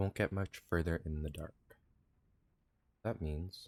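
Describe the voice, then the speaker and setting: Soft-spoken and somewhat breathy, a man talks at a fairly slow pace in a very deep, low pitch with ordinary pitch variation, in a dry, close sound with no echo. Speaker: video game streamer. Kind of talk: live gameplay stream commentary.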